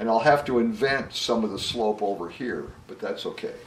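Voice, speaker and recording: Male speech with ordinary pitch variation and audible room echo. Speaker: painting instructor. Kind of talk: tutorial. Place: home room.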